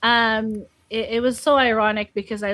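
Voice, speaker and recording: A woman speaks with a Filipino accent. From Philippines, Laoag City. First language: Filipino (Ilocano/Tagalog). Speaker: biblical counselor. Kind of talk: podcast interview.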